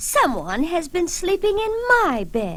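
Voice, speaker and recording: A woman puts on a character voice with an extremely high pitch. She talks at a fairly slow pace over light background noise. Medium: read story.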